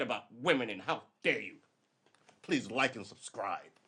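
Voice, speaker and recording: A man speaks at a moderate pace in an animated tone. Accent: American. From New York. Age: 50s. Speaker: live streamer. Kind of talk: casual livestream monologue. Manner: loud.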